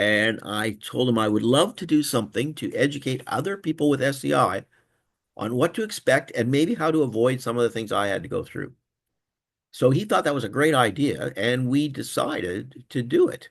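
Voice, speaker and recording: Over a quiet background, a man at medium pitch speaks at a moderate pace with lively intonation. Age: 60s. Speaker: peer support specialist. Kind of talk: webinar presentation. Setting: online webinar. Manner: casual, halting with fillers.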